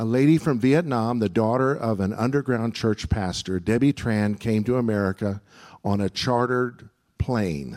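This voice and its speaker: A man talks in a normal speaking voice at a medium pitch, with lively intonation. The recording is very clean, with a silent background. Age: 60s. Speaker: church leader. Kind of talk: speaker introduction. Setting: church.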